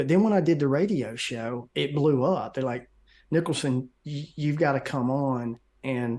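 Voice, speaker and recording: Against a quiet background, a man with a Southern US accent talks at a fairly slow pace in a medium pitch with fairly even intonation. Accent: Southern US twang. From US South. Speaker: conspiracy researcher and video maker. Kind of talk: interview.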